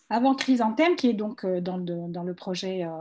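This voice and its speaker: Over light background noise, a woman talks at a fairly slow pace, her dark, mellow tone somewhat breathy and her intonation lively. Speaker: visual artist. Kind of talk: panel presentation. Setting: video call. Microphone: video call.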